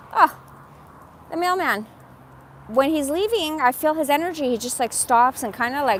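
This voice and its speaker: Her high voice animated, a woman speaks at a moderate pace with lively intonation and long, frequent pauses. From Iran. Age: 40s. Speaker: live streamer. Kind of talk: casual live stream chat.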